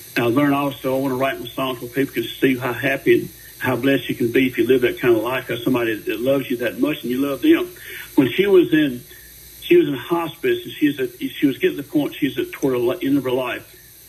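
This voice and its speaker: The speaker is a man talking very fast. Noticeable background noise is present. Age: 70s. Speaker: singer-songwriter. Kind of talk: radio interview. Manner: halting.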